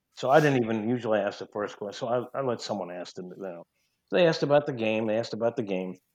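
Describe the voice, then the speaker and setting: Against a quiet background, a man with a slight New York accent talks at a very fast pace and medium pitch, with ordinary pitch variation and big swings in loudness. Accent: slight New York twang. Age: 50s. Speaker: sports sideline reporter. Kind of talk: casual interview chat.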